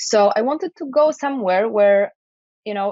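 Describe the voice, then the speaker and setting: A woman with a Polish accent and lively intonation. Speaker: IT project manager and podcaster. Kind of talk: interview.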